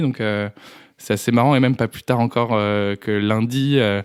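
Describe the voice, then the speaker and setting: The pace is moderate as a man talks. He speaks at medium pitch. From France, Dreux area. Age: 20s. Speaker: podcast guest. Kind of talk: testimony. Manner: halting, many hesitations.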